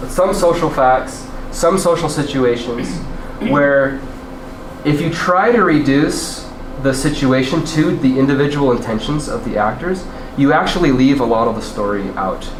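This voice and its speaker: With lively intonation and a fairly high pitch, a man speaks over noticeable background noise. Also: moderate pace. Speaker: UX designer. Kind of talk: class lecture presentation. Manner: casual, hesitant.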